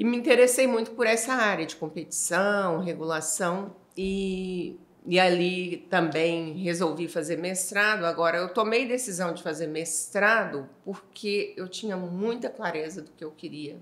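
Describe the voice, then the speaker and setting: Speaking fairly slowly with a Minas Gerais accent, a woman at a medium pitch shows ordinary pitch variation and big swings in loudness, with audible room echo around her. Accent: Minas Gerais (mineiro). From Minas Gerais, Brazil (Ituiutaba). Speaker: energy industry association executive. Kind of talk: interview conversation.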